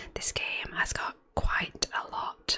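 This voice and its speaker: A woman whispers in a relaxed tone against noticeable background noise. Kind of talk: whispered gameplay commentary. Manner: whispered; relaxed, soft-spoken.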